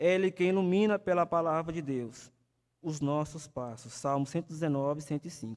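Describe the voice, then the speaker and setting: On a very clean recording with a silent background, a man speaks at a moderate pace in a high pitch. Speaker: evangelist teaching Sunday school. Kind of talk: sermon-style Bible lesson. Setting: church with live stream.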